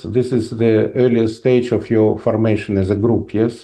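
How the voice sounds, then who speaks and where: A man speaks with a Russian accent at a fairly slow pace. His tone is dark and mellow. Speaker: professor. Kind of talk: lecture with Q&A. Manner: halting, many fillers.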